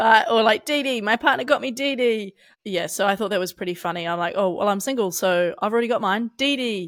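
A woman with a New Zealand accent speaks in a fairly high voice with lively intonation on a very clean recording with a silent background. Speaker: podcast co-host. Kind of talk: casual chat.

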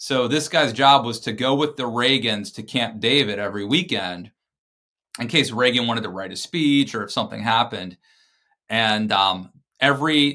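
At a moderate pace, a man talks in a medium-pitched voice with ordinary pitch variation. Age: 40s. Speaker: political commentator and author. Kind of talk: casual chat.

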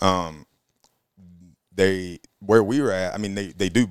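Speaking at a fairly slow pace with an Alabama accent, a man uses a very deep, low voice with ordinary pitch variation. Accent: Southern US (Alabama). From Alabama, Auburn. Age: 20s. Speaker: hunting guide. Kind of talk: casual chat.

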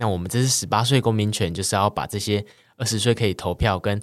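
On a very clean recording with a silent background, a man talks fairly quickly at a fairly low pitch in a plain, everyday voice with ordinary pitch variation. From Taiwan, Kaohsiung. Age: young. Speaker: student activist. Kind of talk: interview.

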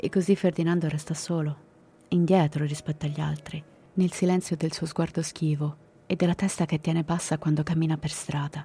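A woman with a very deep, low pitch speaks fairly quickly in a somewhat breathy voice. Her tone is solemn, dark and mellow, and her intonation is monotone and flat. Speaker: true crime podcast narrator. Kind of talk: dramatic true-crime narration. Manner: grave, suspenseful, measured storytelling; solemn, matter-of-fact tone on violent details.

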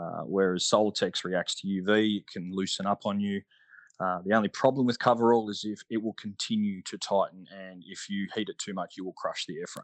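A man with an Australian accent, fairly quick and monotone, with big swings in loudness, a dry, close sound with no echo and a quiet background. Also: fairly low pitch for a man. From Australia, Melbourne. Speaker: scale aeromodeller, ex-military. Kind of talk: casual interview. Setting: online call.

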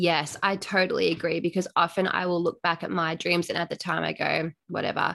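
Speaking with an Australian accent, a woman with a fairly low pitch, a bright, sharp tone and vocal fry talks at a fairly quick pace in flat, monotone intonation with hardly any pauses. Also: quiet background. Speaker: podcast host. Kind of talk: casual interview chat.

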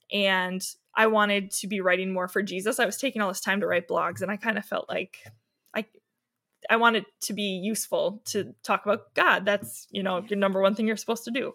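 A woman with an Upper Midwest accent, medium-pitched, bright and sharp in tone, fairly quick with fairly even intonation, on a very clean recording with a silent background. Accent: Upper Midwest American. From Wisconsin, Milwaukee area. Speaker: blogger and stay-at-home mom. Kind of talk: casual interview chat.

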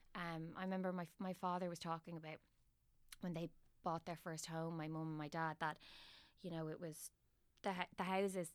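In a very clean recording with a silent background, a woman with a Dublin accent speaks at a fairly quick pace in a fairly low, monotone, flat voice. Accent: Irish (Dublin). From Ireland. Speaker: actress. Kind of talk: casual interview chat.

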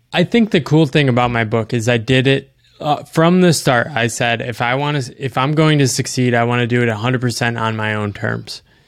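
With an American accent, a man uses an ordinary speaking voice at medium pitch, with ordinary pitch variation and a fairly quick pace. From US East Coast. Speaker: author. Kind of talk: casual interview conversation.

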